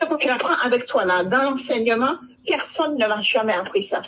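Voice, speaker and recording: A woman speaks at a moderate pace in a high voice with lively intonation and very even loudness, over noticeable background noise. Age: 60s. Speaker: caller giving testimony. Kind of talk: testimony.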